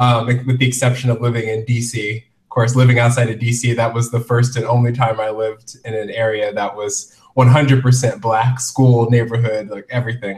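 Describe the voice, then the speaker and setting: Medium-pitched male speech, somewhat breathy and monotone with flat intonation, at a moderate pace with hardly any pauses. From US Midwest and Florida (military family). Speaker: fashion blogger and author. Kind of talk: interview.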